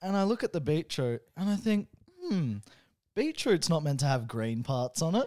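A high-pitched man with an Australian accent, a dark, mellow tone, very wide pitch swings and a moderate pace, on a very clean recording with a silent background. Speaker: host's boyfriend. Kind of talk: casual chat.

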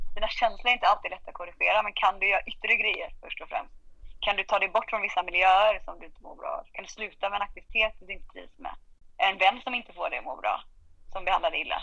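The speaker is a woman, going at a very fast pace. Big swings in loudness run through her delivery. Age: 30s. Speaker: podcast guest sharing depression story. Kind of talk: casual chat. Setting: remote recording. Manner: animated. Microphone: poor sound at times.

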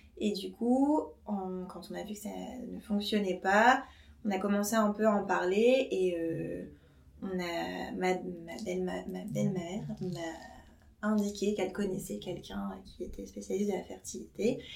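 A woman speaks at a fairly slow pace with long, frequent pauses and big swings in loudness, with audible room echo around her. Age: 30s. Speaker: nurse. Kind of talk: casual chat.

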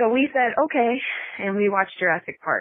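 In a plain, everyday voice, a woman moves at a fairly quick pace. Her pitch shifts in an ordinary way. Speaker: listener calling in. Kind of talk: voice message story.

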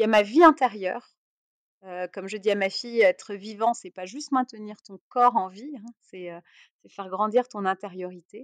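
A woman's fairly high voice with ordinary pitch variation, a moderate pace and big swings in loudness, on a very clean recording with a silent background and a dry, close sound with no echo. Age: 40s. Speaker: entrepreneur and investor. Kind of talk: interview. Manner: hesitant, repeats words.

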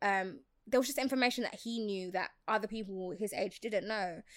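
Heard in a very clean recording with a silent background, a woman talks at a moderate pace in an ordinary speaking voice, with medium pitch and ordinary pitch variation. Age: 20s. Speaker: freelance social media consultant. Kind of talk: casual interview chat.

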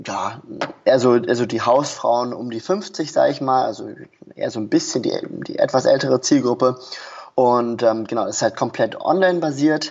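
A man talks at a moderate pace. Background noise is noticeable throughout. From Germany, Berlin. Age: 20s. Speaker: online marketing entrepreneur. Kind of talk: podcast interview. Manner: hesitant with many fillers.

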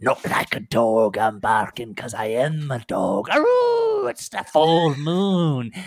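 A man puts on a growling character voice at a medium pitch. He speaks with hardly any pauses. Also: fairly slow pace. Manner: snarling, growling.

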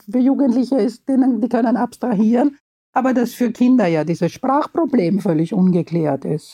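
Intonation here is lively. A dark, mellow tone carries it. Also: woman. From Austria, Vienna. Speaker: children's book author. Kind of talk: interview.

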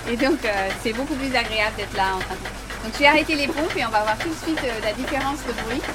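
A woman speaks at a high pitch and a fairly quick pace, with hardly any pauses and ordinary pitch variation. Audible room echo and noticeable background noise surround her. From Portugal / United States. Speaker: research scientist. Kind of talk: on-site explanation. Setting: ship laboratory at night.

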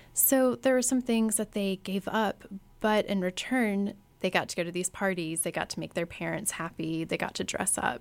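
In a very clean recording with a silent background, a woman with an American accent and a normal speaking voice talks at a moderate pace at medium pitch with lively intonation. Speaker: former debutante and sociology researcher. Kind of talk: interview.

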